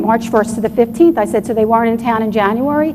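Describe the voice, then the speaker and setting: Talking at a very fast pace, a woman with a fairly high pitch keeps her intonation fairly even, with audible room echo and noticeable background noise. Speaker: doctor and UFO researcher presenting at a conference. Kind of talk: conference presentation.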